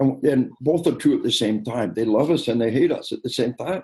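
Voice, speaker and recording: Speaking at a fairly quick pace, a man with a medium pitch and a dark, mellow tone sounds somewhat breathy and shows ordinary pitch variation. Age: 60s. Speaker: military expert and law enforcement trainer. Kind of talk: interview. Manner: animated; emphatic, repetitive.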